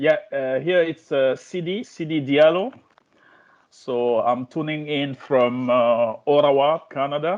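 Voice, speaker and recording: In a French accent, a man speaks at a fairly slow pace with a fairly high pitch and ordinary pitch variation. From Guinea, West Africa. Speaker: law lecturer. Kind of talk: self-introduction. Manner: halting.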